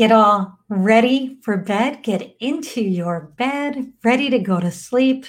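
Lively intonation in a soothing, calm, somewhat breathy tone at a very slow pace. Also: woman. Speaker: meditation guide. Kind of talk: guided meditation. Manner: slow, soothing, calm; gentle, with long pauses.

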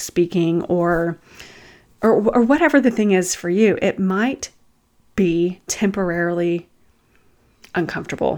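The voice has a Southern US accent and a warm tone. The pace is fairly slow. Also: woman, very clean recording, silent background. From US South. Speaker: empath coach and podcaster. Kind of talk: guided meditation and coaching talk. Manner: warm, conversational.

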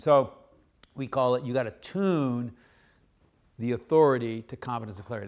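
A man with an American accent and a plain, everyday voice speaks at medium pitch with ordinary pitch variation in a very clean recording with a silent background. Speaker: leadership author and former submarine captain. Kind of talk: interview.

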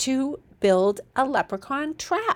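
A woman talks with lively intonation. The recording is very clean, with a silent background. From born in Ireland, raised in US. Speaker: kindergarten teacher, podcast host. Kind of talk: tips podcast monologue.

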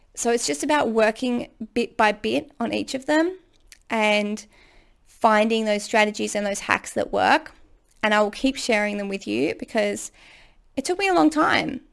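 Fairly high in pitch, a woman talks at a moderate pace in an unremarkable speaking voice. The recording is very clean, with a silent background. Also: lively intonation. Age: 30s. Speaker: podcast host and ADHD coach. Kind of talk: solo monologue advice podcast. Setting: home recording room. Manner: casual and chatty.

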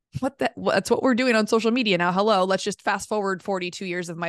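A woman speaks at a medium pitch with ordinary pitch variation in a plain, everyday voice. The sound is dry and close with no echo, over a quiet background. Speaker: podcast host and voice coach. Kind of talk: casual interview chat.

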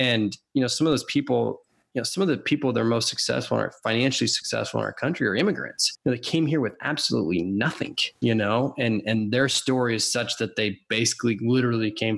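This man has an American accent. He talks very fast. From Washington state, US. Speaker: podcast host, accountant. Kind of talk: casual interview chat.

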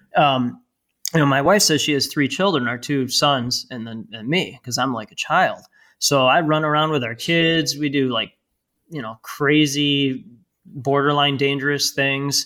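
In an American accent, a man speaks at a fairly slow pace with a bright, sharp tone. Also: fairly high pitch for a man, ordinary pitch variation, very clean recording, silent background. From Chicago area, US Midwest. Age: 40s. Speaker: PR firm CEO and author. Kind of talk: casual interview.

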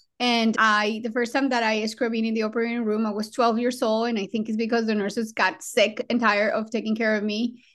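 A woman with a Colombian accent speaks at a fairly quick pace and a fairly high pitch. Her intonation stays monotone and flat, and she hardly pauses. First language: Spanish. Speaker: trauma surgeon and program director. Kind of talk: interview conversation.

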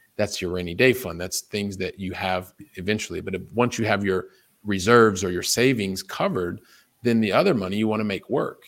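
A man with a General American accent and an unremarkable speaking voice talks at a fairly quick pace, fairly low in pitch with ordinary pitch variation, in a very clean recording with a silent background. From US Midwest, Columbus, Ohio. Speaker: investor and money coach. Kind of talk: interview conversation.

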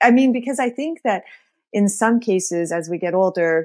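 A woman speaks at a moderate pace with lively intonation in a normal speaking voice. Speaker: podcast host. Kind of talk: casual interview.

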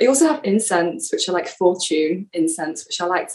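A woman speaks with an English accent and very wide pitch swings. Noticeable background noise can be heard. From England. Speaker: yoga teacher trainee and podcaster. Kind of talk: casual interview.

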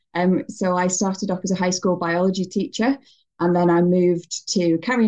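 Speaking with a northern English accent, a woman has a dark, mellow tone at a medium pitch and a moderate pace. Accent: northern English (Greater Manchester). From northern England, Bury near Manchester. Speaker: emigrant to New Zealand. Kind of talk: casual interview. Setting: video call.

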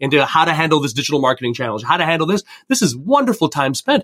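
Here a man talks at a very fast pace and fairly high pitch. The sound is dry and close, with no echo. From Canada, Indian immigrant family. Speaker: career coach. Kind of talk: podcast interview.

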